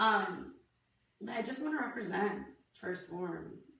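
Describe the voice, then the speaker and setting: Against noticeable background noise and audible room echo, a woman speaks in an animated tone at a fairly slow pace. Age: 30s. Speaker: fitness athlete vlogger. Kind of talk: video application monologue.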